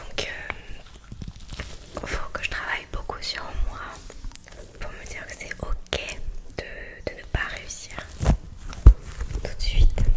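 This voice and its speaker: A woman whispering at a very slow pace amid noticeable background noise. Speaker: ASMR creator. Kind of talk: ASMR chat to camera. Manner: whispered, close to the mic.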